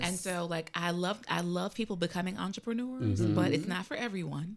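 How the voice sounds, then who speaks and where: This woman has an American accent and a fairly low pitch. She moves at a moderate pace with ordinary pitch variation. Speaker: radio show guest, small business consultant. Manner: soft-spoken, not loud.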